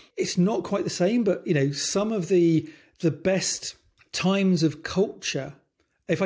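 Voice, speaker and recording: With a British accent, a man speaks in a dark, mellow tone with fairly even intonation. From UK. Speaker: design leadership coach. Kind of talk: casual chat. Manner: halting.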